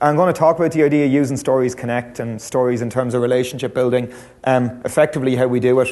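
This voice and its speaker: A man with a Dublin accent, medium pitch and fairly even intonation, at a very fast pace, with audible room echo. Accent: Irish, Dublin. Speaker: lecturer. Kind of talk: conference talk. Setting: stage with audience.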